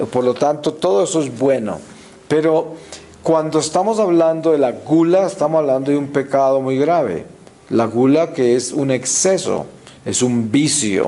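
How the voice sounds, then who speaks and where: Audible room echo and noticeable background noise surround a man speaking with ordinary pitch variation. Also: fairly slow pace. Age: 60s. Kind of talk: religious talk. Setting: church, before the altar. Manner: frequent hesitations and fillers.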